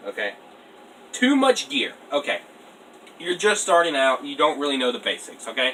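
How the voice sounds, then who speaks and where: At a moderate pace, a man speaks with ordinary pitch variation against noticeable background noise. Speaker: airsoft youtuber. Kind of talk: casual tutorial. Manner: quiet, late at night.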